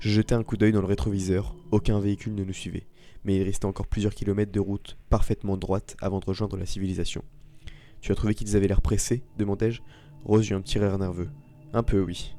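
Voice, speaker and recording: A man's fairly low voice, monotone and flat, at a very fast pace. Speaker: storytelling channel host. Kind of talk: reading aloud; casual commentary. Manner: slightly slurred articulation; hesitant with fillers.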